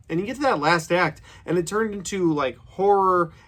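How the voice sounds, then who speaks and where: At a moderate pace, a man with a plain, everyday voice speaks with ordinary pitch variation. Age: 30s. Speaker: movie reviewer. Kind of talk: casual review monologue.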